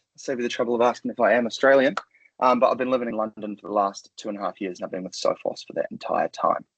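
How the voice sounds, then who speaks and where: Very fast and with big swings in loudness, a man speaks in a New Zealand accent, recorded dry and close with no echo. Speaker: cybersecurity sales engineer. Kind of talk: webinar presentation.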